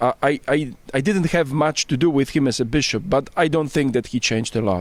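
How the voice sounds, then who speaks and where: A man's fairly high-pitched voice with a Polish accent, ordinary pitch variation and moderate pace. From Poland. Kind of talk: interview. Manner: halting, with false starts.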